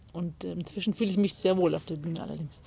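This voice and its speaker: A woman's medium-pitched, dark and mellow voice at a very fast pace, with vocal fry and fairly even intonation. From Bavaria, Pullach near Munich. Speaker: cabaret artist and poet. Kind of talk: interview. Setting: mountain pasture.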